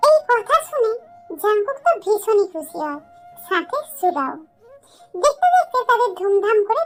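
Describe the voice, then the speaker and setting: A woman puts on a squeaky character voice with very wide pitch swings. She speaks at a moderate pace over music in the background. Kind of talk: romantic fanfiction reading. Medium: read story.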